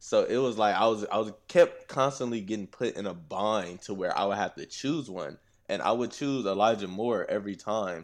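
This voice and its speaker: An ordinary speaking voice with an American accent at a moderate pace, hardly any pauses, ordinary pitch variation and a quiet background. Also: man, fairly low pitch for a man. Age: 20s. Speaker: former college football player. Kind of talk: casual chat.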